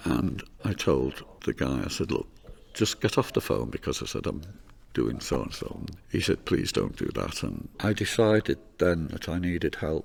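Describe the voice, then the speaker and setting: Very deep and low, this man's voice carries vocal fry. His pitch swings very widely. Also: moderate pace. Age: 70s. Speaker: charity group member. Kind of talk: interview testimony.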